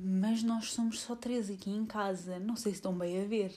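A woman with a European Portuguese accent has a fairly high pitch and a dark, mellow tone, sounding somewhat breathy with fairly even intonation. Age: 20s. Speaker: podcaster. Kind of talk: casual monologue. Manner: hesitant, many fillers.

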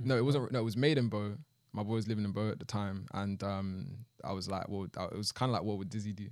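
The man's speech runs at a very fast pace in a fairly low pitch, with fairly even intonation. The recording is very clean, the background silent. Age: 20s. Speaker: rapper and producer. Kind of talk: casual chat.

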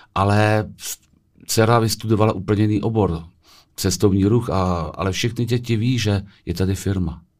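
The recording is very clean with a silent background. A man speaks at a fairly low pitch with fairly even intonation. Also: moderate pace. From Czech Republic, Vysočina (Telč). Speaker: small business owner. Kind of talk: interview answers. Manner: halting.

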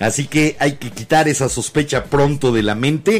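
Music plays in the background as a man with a fairly high pitch speaks with ordinary pitch variation. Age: 50s. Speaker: podcast host. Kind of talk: casual chat. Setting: live-streamed studio show with video.

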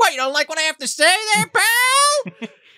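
An extremely high, put-on character voice with very wide pitch swings. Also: moderate pace. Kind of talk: gangster-style slang. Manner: tough, confrontational.

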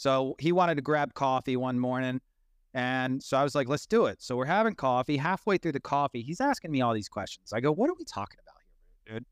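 A man's lively, up-and-down intonation, dry and close with no echo, on a very clean recording against a silent background. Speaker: NFT community member. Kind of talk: casual chat. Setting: live audio chat room. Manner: animated.

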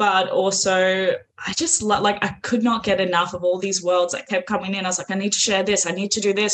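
Her intonation fairly even and her pitch medium, a woman talks at a fairly quick pace. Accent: Australian. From Australia. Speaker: author. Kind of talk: casual chat.

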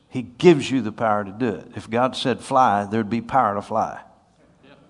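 Audible room echo colors this man's speech, which moves at a moderate pace. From US Northeast. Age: 50s. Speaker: preacher. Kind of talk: sermon.

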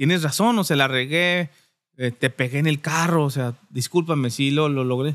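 Recorded very cleanly against a silent background, a man uses a plain, everyday voice with ordinary pitch variation. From Durango, Mexico. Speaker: barbershop owner. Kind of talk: casual chat.

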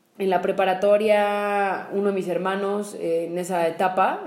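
In a Mexican accent, a woman speaks at a medium pitch. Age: 20s. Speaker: podcast co-host, entrepreneur. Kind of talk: casual conversational podcast.

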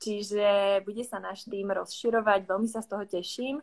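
In a Czech accent, a woman speaks at a medium pitch. The recording is very clean, with a silent background. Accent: Czech accent in Slovak. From Czech Republic. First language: Czech (speaking Slovak). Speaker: business consultant. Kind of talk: livestream interview.

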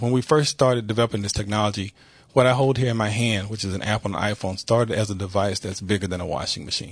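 Somewhat breathy and fairly low-pitched, a man talks at a very fast pace with ordinary pitch variation. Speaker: blind advocate and nonprofit executive. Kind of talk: interview. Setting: studio. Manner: confident.

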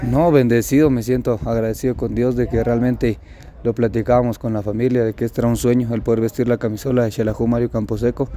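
Speaking very fast in a Guatemalan accent, a man keeps his intonation monotone and flat. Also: medium pitch for a man. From Guatemala, San Marcos. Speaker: professional footballer. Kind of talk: press interview.

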